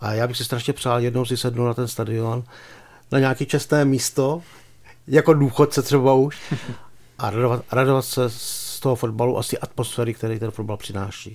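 A normal speaking voice, fairly even intonation and a fairly quick pace. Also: man, medium pitch for a man. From Czech Republic, Pardubice. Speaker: sports journalist. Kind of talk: casual chat.

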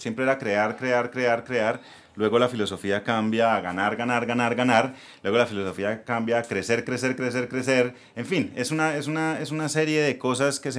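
At a moderate pace, a man talks in an unremarkable speaking voice, medium in pitch and with ordinary pitch variation. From Colombia, Bucaramanga (Santander). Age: 40s. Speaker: entrepreneur, former ad agency owner. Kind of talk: casual interview.

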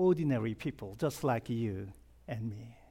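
A man with a Korean accent talks at a fairly slow pace, his pitch swinging very widely. The recording is very clean with a silent background. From South Korea. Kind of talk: sermon.

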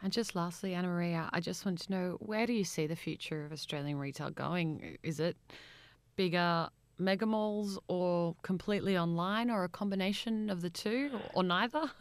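Heard in a very clean recording with a silent background, a woman with a plain, everyday voice talks at a moderate pace and a medium pitch with ordinary pitch variation. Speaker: interviewer, podcast host. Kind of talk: interview.

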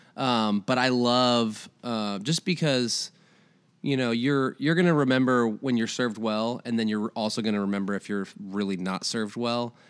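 In a very clean recording with a silent background, a man with an American accent speaks in an unremarkable speaking voice at a medium pitch, with ordinary pitch variation and a moderate pace. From Iowa. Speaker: coffee shop manager. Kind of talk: casual interview. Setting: living room.

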